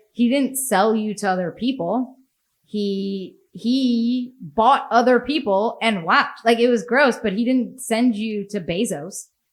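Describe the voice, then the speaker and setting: This is an unremarkable speaking voice with an American accent. It has ordinary pitch variation and a fairly slow pace. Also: woman, fairly high pitch for a woman. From United States. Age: 40s. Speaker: podcast host. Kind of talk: casual chat.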